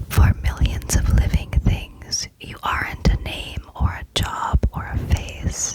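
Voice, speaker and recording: Whispering at a very slow pace with hardly any pauses, the speaker is heard over noticeable background noise. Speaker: ASMR creator. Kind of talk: reading literary quotes aloud, some repeated. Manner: whispered, soft, repetitive triggers.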